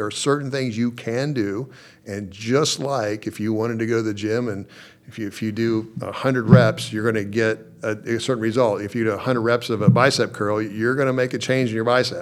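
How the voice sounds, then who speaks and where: With an American accent, a man has an unremarkable speaking voice at a medium pitch and a moderate pace. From Oklahoma. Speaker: judge. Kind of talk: interview. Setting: judge's chambers in courthouse.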